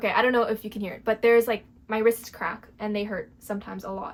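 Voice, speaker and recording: A woman with a Canadian accent and an unremarkable speaking voice talks at a fairly quick pace with a fairly high pitch and fairly even intonation. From Quebec, Canada (anglophone). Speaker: crochet vlogger. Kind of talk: casual vlog chat. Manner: casual, uses lots of fillers.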